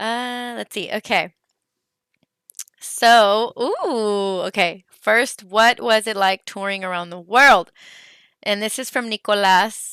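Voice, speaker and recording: A woman's fairly high voice at a very slow pace, with big swings in loudness and a dry, close sound with no echo. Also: ordinary pitch variation. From California, US (Santa Rosa). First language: Spanish. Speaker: singer. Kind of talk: live Q&A chat with fans. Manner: casual, hesitant with many fillers.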